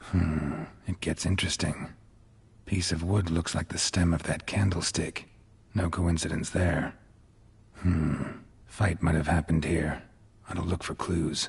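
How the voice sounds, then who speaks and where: In a put-on character voice, a man speaks very deep and low at a moderate pace, leaving long, frequent pauses. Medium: video game. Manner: terse, clipped, dry.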